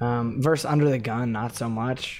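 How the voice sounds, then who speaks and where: A man speaks quietly at a medium pitch. His pace is fairly slow and his intonation fairly even. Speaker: poker coach and player. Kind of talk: live gameplay commentary. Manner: casual, many filler words.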